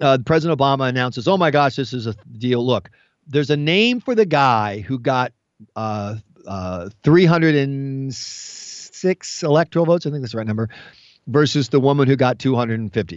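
A man with an American accent, medium pitch, lively intonation and moderate pace. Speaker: US radio commentator. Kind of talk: opinionated banter. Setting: phone call, remote from Washington. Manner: animated, joking.

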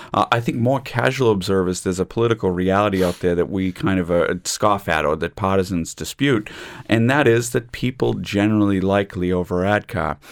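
Fairly quick and with hardly any pauses, a man with an unremarkable speaking voice talks in a fairly low pitch with an American accent and ordinary pitch variation. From United States. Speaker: law lecturer. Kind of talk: panel discussion on radio. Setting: studio.

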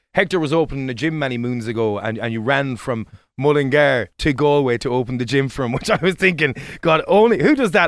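A man talks in an Irish accent. His pace is fairly quick. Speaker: radio host. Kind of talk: casual radio interview.

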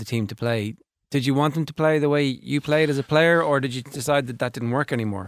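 At a very fast pace, a man with an Irish accent speaks at a fairly high pitch with ordinary pitch variation, on a very clean recording with a silent background. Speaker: sports radio host. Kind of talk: casual chat. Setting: studio.

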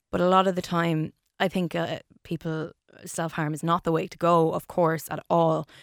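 In an Irish Midlands accent, the speaker uses monotone, flat intonation at a moderate pace, in a very clean, dry, close recording with no echo and a silent background. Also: woman, fairly low pitch for a woman. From Ireland, Longford. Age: 30s. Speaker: radio broadcaster. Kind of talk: interview about mental health.

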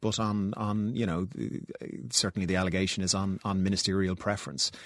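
A man at a fairly quick pace and fairly low pitch, in a very clean recording with a silent background. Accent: Irish. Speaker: politician. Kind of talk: political interview.

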